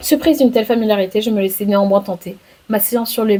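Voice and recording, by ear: This clip is someone reading aloud in a natural voice.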